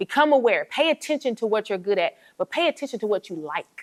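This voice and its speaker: Talking at a fairly quick pace with an American accent, a woman with a fairly high pitch sounds animated, her pitch swinging very widely, in a dry, close recording with no echo. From Atlanta, US South. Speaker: entrepreneur and business coach. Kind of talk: classroom guest talk. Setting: university classroom. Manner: fast.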